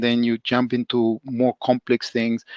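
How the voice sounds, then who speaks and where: Medium-pitched man with a Spanish accent, dry and close with no echo, against a quiet background. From El Salvador. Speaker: professor. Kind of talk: podcast interview. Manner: halting, many fillers and restarts.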